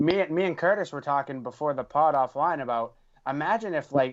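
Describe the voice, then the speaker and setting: A fairly quick man with a Boston accent, fairly high pitch and ordinary pitch variation, over a quiet background. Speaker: podcast co-host. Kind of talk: casual chat.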